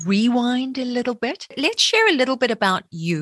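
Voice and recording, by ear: Her pitch is fairly high with big swings, and her tone is fairly bright. The woman keeps a moderate pace, and the sound is dry and close with no echo.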